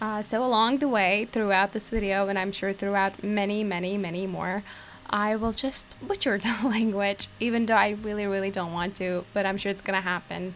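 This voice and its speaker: At a moderate pace, a woman with a Turkish accent talks at a medium pitch with fairly even intonation. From Turkey. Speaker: gaming youtuber. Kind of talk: voiceover commentary. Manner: casual, hesitant with fillers.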